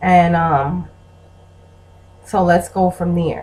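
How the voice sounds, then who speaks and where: A woman speaks with a somewhat breathy voice. Her pitch is fairly low. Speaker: vlogger and blogger. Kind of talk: casual vlog monologue.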